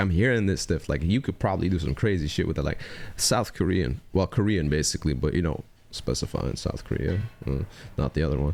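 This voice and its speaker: There is vocal fry in this man's voice, and he has a non-native accent. His tone is animated and his pace fairly quick. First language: not English. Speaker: music reaction youtuber. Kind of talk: casual reaction commentary. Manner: animated, casual with many fillers.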